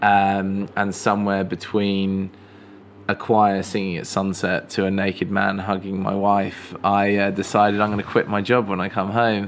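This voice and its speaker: Against noticeable background noise, a man with an English accent speaks in a fairly low, monotone, flat voice. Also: moderate pace. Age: 30s. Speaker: filmmaker. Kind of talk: casual chat. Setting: live stream conversation. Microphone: poor audio quality in early episode.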